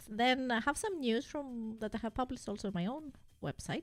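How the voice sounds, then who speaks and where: With a non-native accent, a woman speaks at a fairly quick pace. Her voice is fairly high, and her intonation is lively. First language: not English. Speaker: gaming streamer. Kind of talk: casual live stream chat. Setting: live stream. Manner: halting, many fillers.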